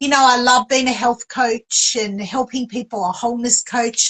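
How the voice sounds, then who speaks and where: In an Australian accent, a high-pitched woman speaks, the sound dry and close with no echo. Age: 60s. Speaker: author and publisher. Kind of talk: interview.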